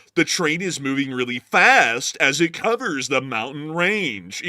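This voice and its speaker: A put-on character voice delivers lines in a dramatic, serious tone at a moderate pace. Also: man, fairly high pitch for a man. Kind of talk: edgy teenager narrating. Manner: overly dramatic, mockingly serious.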